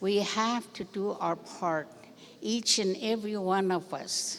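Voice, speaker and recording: A woman at a medium pitch and a very slow pace, with vocal fry and ordinary pitch variation. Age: 80s+. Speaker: elder speaker. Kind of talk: speech at ceremony.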